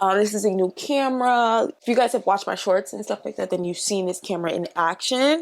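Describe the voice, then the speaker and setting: A woman with a normal speaking voice talks at a medium pitch. Her pace is fairly quick with hardly any pauses and lively intonation. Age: 20s. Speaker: beauty YouTuber. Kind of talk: casual chat while doing makeup. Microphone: new mic.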